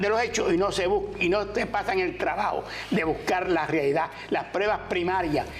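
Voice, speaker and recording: The recording carries audible room echo along with noticeable background noise. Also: man. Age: 80s+. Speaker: author and cooperative leader. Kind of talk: interview.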